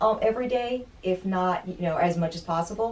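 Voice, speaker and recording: A woman with an ordinary speaking voice talks at a fairly low pitch. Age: 50s. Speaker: fitness client, piano teacher and yoga instructor. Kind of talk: casual interview.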